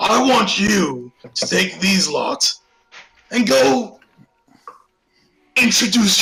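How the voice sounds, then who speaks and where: A man puts on a character voice at a high pitch with lively intonation. Music plays in the background. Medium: actual play. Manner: commanding, curt.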